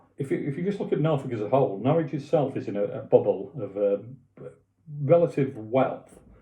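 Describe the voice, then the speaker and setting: A somewhat breathy voice is heard. It belongs to a man. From Doncaster, South Yorkshire, northern England. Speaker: web designer and property introducer. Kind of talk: casual talk to camera. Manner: hesitant, many fillers and restarts.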